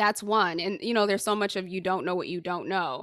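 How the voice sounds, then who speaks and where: With an American accent and an unremarkable speaking voice, a woman talks at a medium pitch with fairly even intonation. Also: very clean recording, silent background. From Haiti, raised in the US. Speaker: executive coach. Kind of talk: interview.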